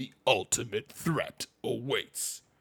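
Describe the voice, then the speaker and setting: A put-on character voice at a low-to-middle pitch. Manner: dramatic, bombastic.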